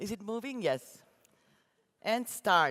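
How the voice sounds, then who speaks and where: A woman speaks with an Austrian accent. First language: German. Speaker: graphic designer. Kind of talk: keynote talk read from script. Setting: conference stage with audience. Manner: reading aloud, careful.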